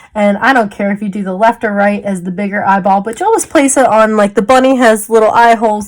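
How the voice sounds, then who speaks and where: A woman with an unremarkable speaking voice talks at a fairly quick pace and a fairly high pitch, with ordinary pitch variation. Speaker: small business owner, crafter. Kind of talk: tutorial. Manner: casual, chatty.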